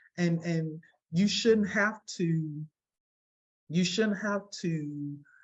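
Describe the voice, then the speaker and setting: Speaking at a very slow pace, a woman with a Southern accent has a very deep, low pitch and ordinary pitch variation. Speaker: parent of a seriously ill child. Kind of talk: interview testimony. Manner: halting, many repetitions.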